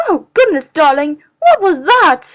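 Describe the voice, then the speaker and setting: Using a squeaky, cartoonish character voice at an extremely high pitch, a woman speaks fairly slowly. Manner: genteel, affectionate.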